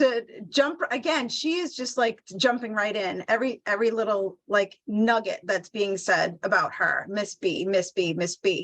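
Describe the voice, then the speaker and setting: Using an unremarkable speaking voice, a woman with a fairly high pitch talks at a moderate pace with lively intonation and hardly any pauses. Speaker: animal communicator. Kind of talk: live animal communication reading.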